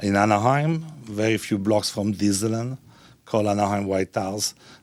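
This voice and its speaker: A man with an Italian accent speaks at a moderate pace in a fairly low pitch. His pitch varies in an ordinary way. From Italy. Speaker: restaurateur and philanthropist. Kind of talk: speech to an audience. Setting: stage with audience.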